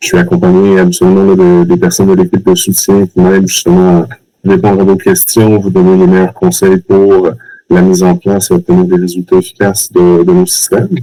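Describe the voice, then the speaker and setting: A man with a Quebec accent, talking at a fairly quick pace, his loudness very even throughout. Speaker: customer success manager. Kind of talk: webinar presentation.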